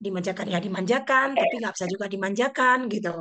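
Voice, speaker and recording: Very fast and fairly high-pitched, a woman talks with ordinary pitch variation. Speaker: elementary school teacher. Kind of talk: online discussion sharing experience.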